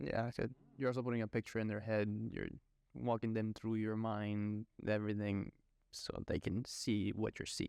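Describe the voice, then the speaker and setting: Dry and close, with no echo, a man speaks in a Spanish accent at a moderate pace. His fairly low voice stays monotone and flat. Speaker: podcast host. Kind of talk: casual podcast chat. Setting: podcast recording.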